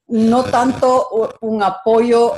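A woman with a Quito Ecuadorian accent. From Ecuador, Quito. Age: 60s. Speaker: entrepreneur. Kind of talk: interview.

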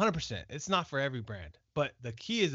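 Animated and fairly quick, a man with an American accent and fairly high pitch swings his pitch very widely. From California, Fresno. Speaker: business founder. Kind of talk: casual chat.

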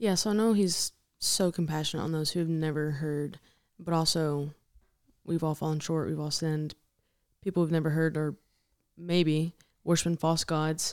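Speech moves at a moderate pace, broken by long, frequent pauses. The intonation stays fairly even over a very clean recording with a silent background. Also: woman, very deep, low pitch for a woman. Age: 20s. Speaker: podcast host. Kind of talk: casual faith discussion.

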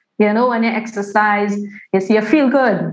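A woman's fairly high voice with audible room echo. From Trinidad. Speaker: massage therapist. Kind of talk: casual chat.

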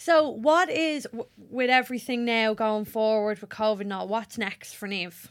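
A woman speaks with an Irish accent at a moderate pace. Her loudness swings a lot, while her pitch variation is ordinary. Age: 20s. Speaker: podcast host and makeup artist. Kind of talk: casual chat.

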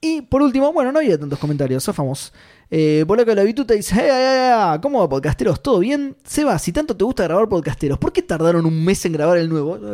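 In a Rioplatense accent, the voice races at a very fast pace with hardly any pauses, a dark, mellow tone and very wide pitch swings. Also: man, high pitch for a man, very clean recording, silent background. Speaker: podcast co-host. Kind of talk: casual chat.

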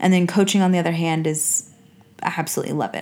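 A woman's fairly low voice, very fast, with fairly even intonation. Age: 30s. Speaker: podcast co-host, teacher and coach. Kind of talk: casual chat. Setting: home recording.

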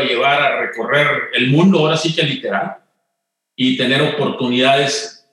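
A man talks at a fairly quick pace with a Monterrey accent. Room echo is audible. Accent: Monterrey (norteño) accent, still noticeable. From Mexico, Monterrey. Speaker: retired corporate executive. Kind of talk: interview conversation.

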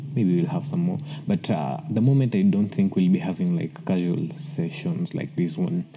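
A man with an East African accent talks at a moderate pace, fairly high in pitch with very wide pitch swings, over noticeable background noise. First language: Swahili. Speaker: podcast host. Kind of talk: casual solo podcast talk. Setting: solo recording. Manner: halting, many fillers and repeats.

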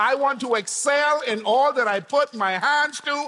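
A man with an extremely high pitch uses a raised, projected voice, speaking at a fairly slow pace with ordinary pitch variation. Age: 40s. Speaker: pastor. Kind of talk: sermon. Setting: church. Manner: animated.

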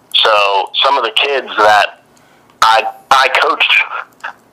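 There is noticeable background noise. Through it, a man talks with an American accent. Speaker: medical student and former wrestler. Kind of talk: interview.

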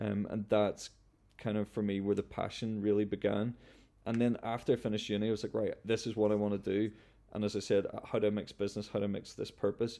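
Speaking with a Northern Irish accent, a man with a fairly low pitch and a dark, mellow tone talks at a very fast pace in a monotone, flat intonation, on a very clean recording with a silent background. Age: 20s. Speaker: founder of a clothing company. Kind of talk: interview.

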